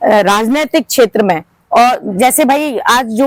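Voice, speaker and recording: A woman's high-pitched voice comes through close and dry, without any echo. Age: 60s. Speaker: community organization leader. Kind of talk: interview.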